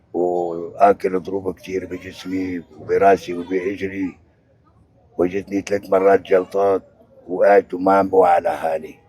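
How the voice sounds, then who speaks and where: Very deep and low, a man's voice moves at a fairly slow pace with monotone, flat intonation. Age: 70s. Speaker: displaced elderly father. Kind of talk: street interview.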